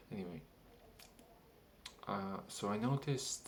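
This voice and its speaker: A man talks with a non-native accent. There is audible echo from the room. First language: not English. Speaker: vlogger. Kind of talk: casual monologue. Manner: halting.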